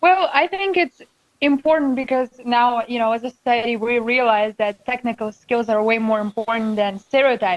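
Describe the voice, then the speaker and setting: A woman speaks at a moderate pace with a non-native accent, her pitch high and its variation ordinary. The sound is dry and close, with no echo. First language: not English. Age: 20s. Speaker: student racing driver. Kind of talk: casual chat. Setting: studio.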